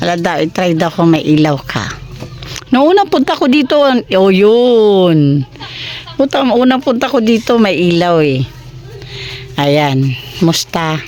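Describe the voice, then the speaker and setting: The speech runs at a fairly slow pace with long, frequent pauses, very wide pitch swings and very even loudness, over noticeable background noise. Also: woman, medium pitch for a woman. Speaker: charity vlogger. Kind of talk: casual chat. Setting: visiting someone's home.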